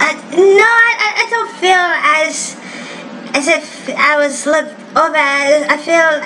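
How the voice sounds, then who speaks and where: Through audible room echo and noticeable background noise, a woman with a non-native accent speaks very slowly in a raised, projected voice, her pitch swinging very widely. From Japan, Osaka. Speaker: wrestler. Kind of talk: interview. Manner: halting, searching for words.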